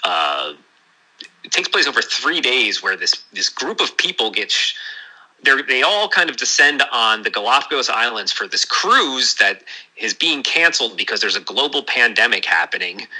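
With noticeable background noise around him, a man in an American accent speaks at a moderate pace. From New Jersey. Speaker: novelist. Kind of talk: interview.

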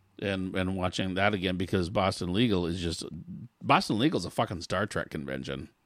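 Lively intonation marks this man's unremarkable speaking voice at a fairly quick pace. The recording is very clean, with a silent background. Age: 50s. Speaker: podcast co-host. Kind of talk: casual chat.

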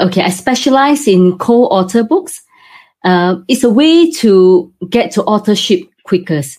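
A somewhat breathy woman at medium pitch, fairly slow pace, very wide pitch swings and very even loudness. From Singapore. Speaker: property developer and co-author publisher. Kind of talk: interview.

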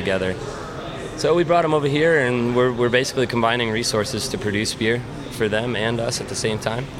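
Noticeable background noise sits behind a man talking at a very fast pace in an American accent. His pitch variation is ordinary. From US Midwest, central Illinois. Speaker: brewer. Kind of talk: casual interview.

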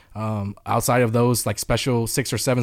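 With an American accent, a man talks at a fairly quick pace in an ordinary speaking voice, pitched at a medium level. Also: very clean recording, silent background. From US South, Atlanta, Georgia. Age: 20s. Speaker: professional fighting game player. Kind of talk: interview.

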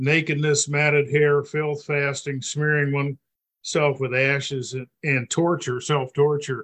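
A man with an unremarkable speaking voice talks fairly slowly at a fairly high pitch. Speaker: class participant. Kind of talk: group discussion. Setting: video call.

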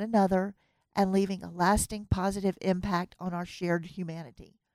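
In a Southern US accent, a woman speaks at a medium pitch and moderate pace with a dark, mellow tone and fairly even intonation, on a very clean recording with a silent background. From US South. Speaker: podcast host. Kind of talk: interview. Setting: studio.

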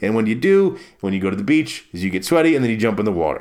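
Man's voice with an American accent, swinging very widely in pitch. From Maryland, US East Coast. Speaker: podcast host. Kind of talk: casual solo monologue.

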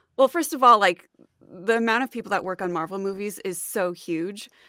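A woman speaks at a moderate pace with ordinary pitch variation. The sound is dry and close with no echo, in a very clean recording with a silent background. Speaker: actor and voice-over artist. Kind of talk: interview.

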